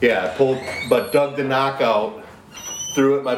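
Amid noticeable background noise and audible room echo, a man with a medium pitch speaks at a moderate pace. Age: 40s. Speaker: podcast co-host. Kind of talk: casual chat.

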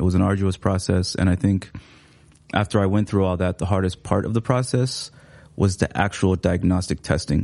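The voice has a dark, mellow tone and a Somali accent. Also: man. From Seattle, US. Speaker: writer and teacher. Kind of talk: casual interview chat. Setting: studio.

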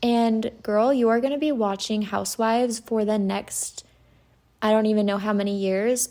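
At a moderate pace and with ordinary pitch variation, the voice comes through on a very clean recording over a silent background. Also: woman. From Utah. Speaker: podcast host. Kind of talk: solo podcast monologue.

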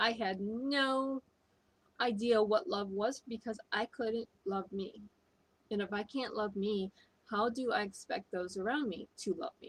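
Fairly high and somewhat breathy, a woman with an American accent talks at a fairly slow pace with ordinary pitch variation, in a dry, close sound with no echo. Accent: foreign accent syndrome. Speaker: spiritual coach. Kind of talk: motivational talk.

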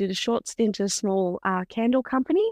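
Speaking at a moderate pace with an Australian accent, a woman has a fairly high pitch and ordinary pitch variation, recorded with a dry, close sound with no echo over a quiet background. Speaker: beauty industry professional and hypnobirth educator. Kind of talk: casual interview chat.

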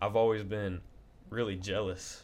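A man with a Southern US accent talks at a moderate pace in a fairly low pitch. His intonation is monotone and flat. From Covington, Tennessee. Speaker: band bassist. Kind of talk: casual chat.

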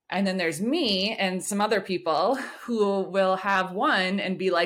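Noticeable background noise behind a woman's medium-pitched speech. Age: 30s. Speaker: freelance writer and psychometrist. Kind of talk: casual chat.

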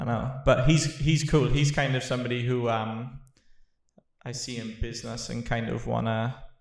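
Speaking with a Welsh accent, a man uses a medium pitch, vocal fry and fairly even intonation at a moderate pace. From Wales. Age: 30s. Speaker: podcast host and business owner. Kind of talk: casual chat.

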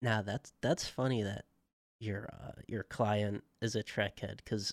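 There is vocal fry in a man's fairly low voice, delivered at a moderate pace with fairly even intonation. The recording is very clean with a silent background. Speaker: podcast co-host. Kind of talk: casual chat.

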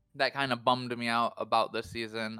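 A man's medium-pitched voice, bright and sharp in tone, on a very clean recording with a silent background. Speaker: tabletop game player. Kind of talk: casual banter.

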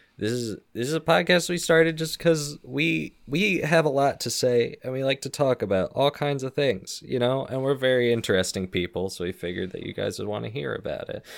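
A man at medium pitch talks fairly quickly with hardly any pauses. His intonation is lively, and the recording is very clean with a silent background. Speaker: podcast host. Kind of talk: casual banter, comedic podcast intro. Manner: animated, bantering, sarcastic.

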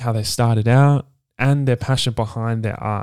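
Dry and close with no echo, the recording has a man with an Australian accent speaking at a moderate pace in a medium pitch, his tone dark and mellow and his intonation fairly even. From Perth, Western Australia. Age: 20s. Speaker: podcast host and DJ. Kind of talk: solo podcast monologue. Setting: home recording with video.

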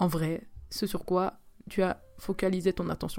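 A woman is speaking. Her tone is dark and mellow. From Switzerland. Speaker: podcaster, student. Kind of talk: casual solo talk. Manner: hesitant, many fillers.

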